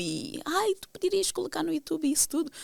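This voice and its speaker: A woman speaks at a fairly quick pace, her pitch moving in very wide swings. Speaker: podcast host. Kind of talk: casual monologue to audience. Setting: video podcast recording. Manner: direct, intense, motivated.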